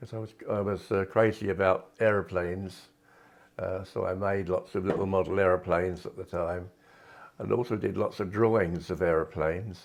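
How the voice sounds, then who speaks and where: In a southern English accent, the speech moves at a moderate pace with ordinary pitch variation. The background is quiet. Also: man. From southern England, Kent. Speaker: retired art teacher and artist. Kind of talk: personal reminiscence interview. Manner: halting, with frequent fillers.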